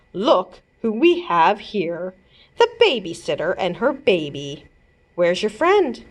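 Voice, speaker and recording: A woman's growling, put-on character voice at medium pitch, with very wide pitch swings and a fairly slow pace. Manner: growling, threatening.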